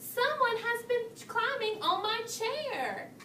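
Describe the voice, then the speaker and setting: A woman speaks at a fairly slow pace in a squeaky, extremely high-pitched put-on character voice. Clear background noise runs underneath. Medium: read story.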